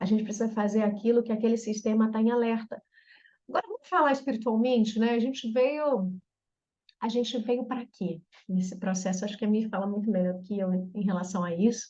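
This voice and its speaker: A woman talks at a fairly quick pace in a fairly high pitch, her tone dark and mellow and somewhat breathy. Her pitch varies in an ordinary way. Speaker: therapist specializing in trauma reprogramming. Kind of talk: online group therapy talk.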